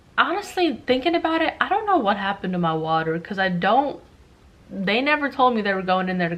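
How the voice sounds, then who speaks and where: Over noticeable background noise, a woman talks very fast with lively intonation. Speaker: vlogger, new mother. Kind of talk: casual vlog, personal story. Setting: at home, rocking baby while filming. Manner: loud; casual, filler-heavy.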